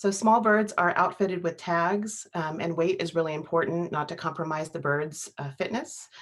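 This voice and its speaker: On a very clean recording with a silent background, a woman with a normal speaking voice and fairly low pitch talks at a moderate pace with ordinary pitch variation. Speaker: wildlife biologist. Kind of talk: presentation.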